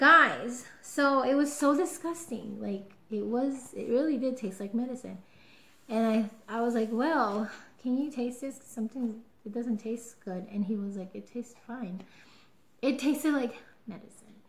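Speaking at a moderate pace, a woman with a high voice shows ordinary pitch variation and big swings in loudness. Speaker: vlogger. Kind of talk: casual vlog. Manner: chatty, excited. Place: home room. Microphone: webcam.

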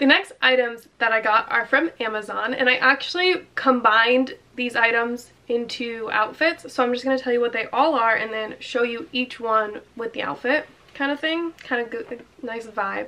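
A woman speaks at a high pitch with ordinary pitch variation. Her pace is moderate. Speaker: fashion vlogger. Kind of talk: casual vlog chat. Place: home room. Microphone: camera far.

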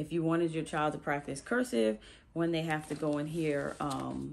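A woman with a very deep, low voice, over light background noise. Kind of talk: casual vlog chat. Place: home room. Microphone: phone near.

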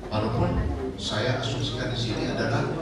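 There is loud background noise and audible room echo as a man speaks. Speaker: official presenting to influencers. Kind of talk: lecture. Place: hall.

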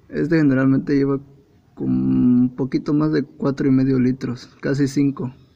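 Speaking with a Mexican accent, a man uses a dark, mellow tone at a fairly slow pace. His loudness stays very even, and his intonation is fairly even. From Mexico. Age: 20s. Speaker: computer assembler. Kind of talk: casual car repair tutorial. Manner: casual, joking. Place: car.

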